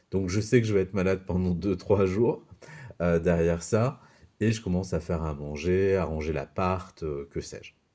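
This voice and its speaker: A man's very deep, low voice with a dark, mellow tone, on a very clean recording with a silent background. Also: ordinary pitch variation, moderate pace. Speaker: youtuber sharing personal experience. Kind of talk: personal storytelling vlog. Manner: hesitant, many fillers.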